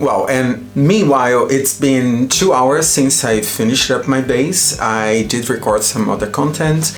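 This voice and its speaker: Speaking at a fairly slow pace with hardly any pauses, a man with a medium pitch keeps his loudness very even and his pitch variation ordinary, with audible room echo and noticeable background noise. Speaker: makeup artist. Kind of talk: product review tutorial. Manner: animated.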